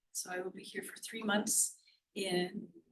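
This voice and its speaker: A woman is speaking. Her pace is very slow. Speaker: business professor. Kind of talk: panel discussion.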